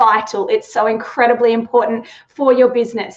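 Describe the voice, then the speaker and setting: This woman's voice sits high in pitch and carries an Australian accent. She talks at a moderate pace. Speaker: sales trainer. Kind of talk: live webinar talk. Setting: live online stream. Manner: animated.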